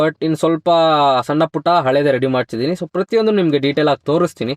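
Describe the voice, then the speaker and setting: A plain, everyday voice belongs to this man, whose fairly high pitch varies in an ordinary way. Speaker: motorbike vlogger. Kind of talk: vlog walkthrough. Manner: casual, filler-heavy.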